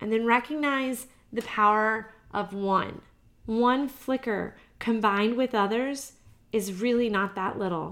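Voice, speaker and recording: On a very clean recording with a silent background, a woman with an American accent and fairly high pitch speaks fairly slowly with fairly even intonation. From US South (Georgia). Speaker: podcast host, breast cancer survivor. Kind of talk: solo podcast monologue.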